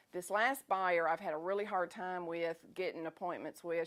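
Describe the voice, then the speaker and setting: With a Southern US accent, a woman talks at a fairly quick pace in a very clean recording with a silent background. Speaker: food business owner. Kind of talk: talk to an audience. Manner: fast; animated.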